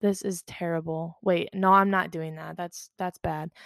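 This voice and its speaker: Against a quiet background, a woman talks at a moderate pace. Her medium pitch has monotone, flat intonation. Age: 20s. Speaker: podcast host. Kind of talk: casual solo monologue. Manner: hesitant, many fillers; frequent laughter.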